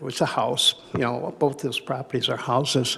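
A man speaks over noticeable background noise. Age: 70s. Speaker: property owner and real estate broker applicant. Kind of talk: public hearing testimony. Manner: halting, many fillers.

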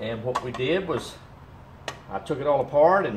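Audible room echo and light background noise accompany the man's speech. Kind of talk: tutorial. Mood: proud, enthusiastic. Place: workshop. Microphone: camera far.

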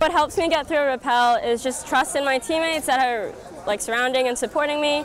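Over crowd noise in the background, a woman with a high voice talks at a very fast pace with ordinary pitch variation, the sound dry with no echo. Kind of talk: interview answer. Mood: upbeat, smiling. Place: open country.

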